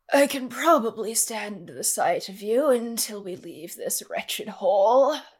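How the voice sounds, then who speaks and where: Using a put-on character voice, a woman speaks at a moderate pace and fairly high pitch. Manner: jaded, world-weary.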